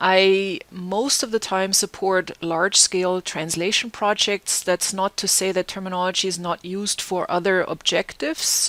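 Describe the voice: Speaking with a German accent, a woman uses a fairly low pitch with vocal fry and a fairly bright tone, at a fairly slow pace with little pitch movement.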